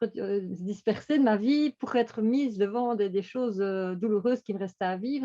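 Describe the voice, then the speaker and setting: A woman's voice, fairly high in pitch, carries a dark, mellow tone. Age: 60s. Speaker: coaching client giving testimony. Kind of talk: testimony. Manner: halting, many repetitions and hesitations.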